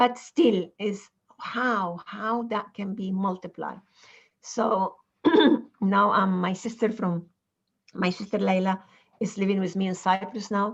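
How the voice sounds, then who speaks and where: At a medium pitch, a woman speaks fairly slowly with long, frequent pauses. Her voice is somewhat breathy and her intonation fairly even. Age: 60s. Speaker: mentor. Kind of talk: panel discussion. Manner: halting.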